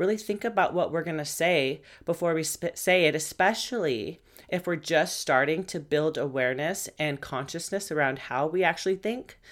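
On a very clean recording with a silent background, a woman with a fairly low pitch speaks in an animated tone with ordinary pitch variation. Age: 30s. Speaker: podcast host, mindset and fitness coach. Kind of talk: casual monologue. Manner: fast.

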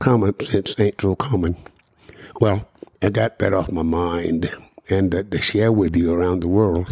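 The man's voice comes through with a dry, close sound with no echo. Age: 80s. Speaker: radio broadcaster and podcast host. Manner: reminiscing, conversational, repeats words.

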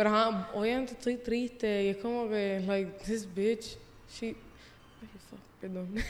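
A woman with a fairly high pitch speaks very slowly in a flat monotone, leaving long, frequent pauses over noticeable background noise. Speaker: host's younger sister. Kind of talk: casual chat. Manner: soft-spoken.

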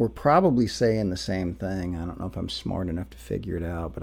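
A man talks in a relaxed tone with vocal fry. His intonation is lively. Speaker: English professor. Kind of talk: personal monologue. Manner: relaxed, with frequent fillers.

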